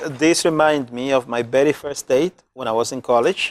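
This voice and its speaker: This man talks at a medium pitch in a Spanish accent. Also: very clean recording, silent background. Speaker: community health worker. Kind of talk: casual interview chat.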